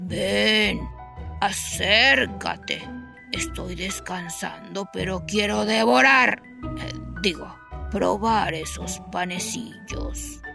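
Someone delivers lines in a put-on character voice at a very slow pace. Music plays clearly in the background. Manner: feigned sweetness, slipping.

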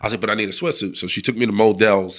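Talking at a very fast pace, a man speaks with a New York accent. The recording is very clean, with a silent background. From New York City (the Bronx). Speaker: former football player and sports broadcaster. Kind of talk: casual interview chat.

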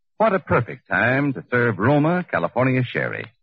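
At a moderate pace, a man speaks with medium pitch, big pitch swings and a slightly husky edge.

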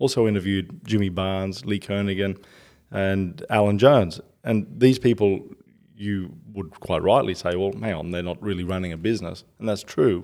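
A man with an Australian accent, fairly low pitch, a dark, mellow tone, ordinary pitch variation and a moderate pace, in a very clean recording with a silent background. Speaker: author and entrepreneur. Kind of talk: interview.

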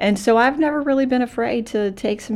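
Using a normal speaking voice, a woman with an American accent talks at a fairly quick pace with ordinary pitch variation. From Florida and rural North Carolina. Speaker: community college president. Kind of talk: interview. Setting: on a college campus.

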